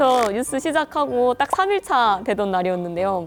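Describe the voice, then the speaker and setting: Her fairly high voice swings very widely in pitch as this woman speaks at a moderate pace. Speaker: news anchor and YouTube creator. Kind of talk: interview.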